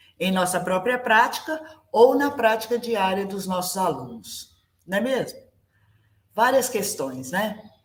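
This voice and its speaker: A woman speaks very slowly, her voice somewhat breathy. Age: 60s. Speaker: ballet teacher. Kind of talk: online class presentation.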